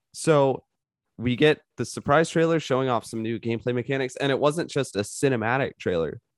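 In a very clean recording with a silent background and a dry, close sound with no echo, a man with an ordinary speaking voice talks at a fairly quick pace, medium in pitch with ordinary pitch variation. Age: young. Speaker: returning podcast guest. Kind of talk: casual chat.

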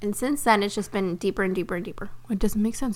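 Her medium-pitched voice has a bright, sharp tone, and the woman sounds animated. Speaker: podcast host and spiritual business coach. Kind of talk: casual monologue.

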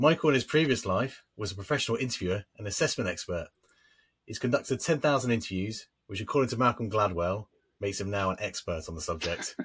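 Lively intonation runs through the speech. The pace is very fast. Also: man, fairly low pitch for a man. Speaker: podcast co-host. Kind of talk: casual chat. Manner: halting, repeats words.

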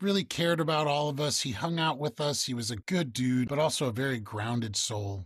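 Over a silent background on a very clean recording, a man with an American accent talks fairly quickly with hardly any pauses, his fairly high, somewhat breathy voice full of lively intonation. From Chicago area, Illinois (Evanston). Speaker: actor. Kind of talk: casual interview chat.

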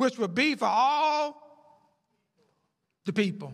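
With a bright, sharp tone, a man projects a raised voice full of lively intonation. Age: 70s. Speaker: pastor. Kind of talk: sermon. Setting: church. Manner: halting.

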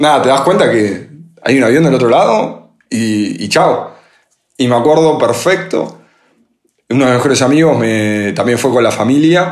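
Lively intonation rides over very even loudness at a fairly slow pace, with audible room echo. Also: man, medium pitch for a man. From Argentina, Buenos Aires. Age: 30s. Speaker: podcast co-host, entrepreneur. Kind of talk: casual chat.

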